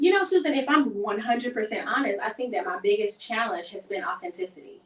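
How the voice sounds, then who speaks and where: A woman's fairly high voice in a Southern US accent, very fast, with very wide pitch swings. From US South. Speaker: singer and entertainer. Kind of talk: interview.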